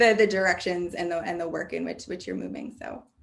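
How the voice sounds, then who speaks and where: A woman's voice is heard with audible room echo. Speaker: keynote speaker on higher education assessment. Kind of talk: Q&A answer after keynote lecture. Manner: fast.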